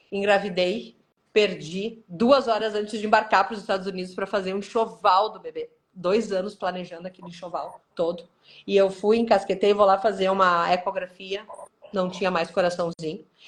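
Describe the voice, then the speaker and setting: A woman's loudness swings widely while her intonation stays fairly even. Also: medium pitch for a woman, moderate pace. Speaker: cancer survivor and author. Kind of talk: testimony. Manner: soft-spoken.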